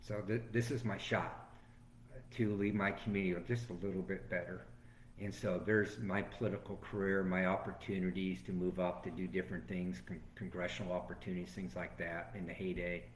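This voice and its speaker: With an American accent, a man speaks in a very deep, low voice with vocal fry and ordinary pitch variation. Audible room echo surrounds him. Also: fairly quick pace. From Florida, Venice area. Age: 60s. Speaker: former sheriff and political candidate. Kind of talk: interview.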